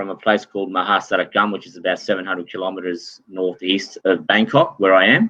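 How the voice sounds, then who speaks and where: In an Australian accent, a man speaks fairly quickly with hardly any pauses, his very deep, low voice flat and monotone while his loudness swings widely. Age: 50s. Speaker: entrepreneur. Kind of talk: interview.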